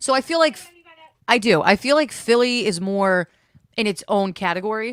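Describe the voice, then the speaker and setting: A woman with a North Jersey accent, fairly high pitch, moderate pace, lively intonation, big swings in loudness, and a dry, close sound with no echo. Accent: North Jersey, mistaken for New York. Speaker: podcast host. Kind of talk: casual chat.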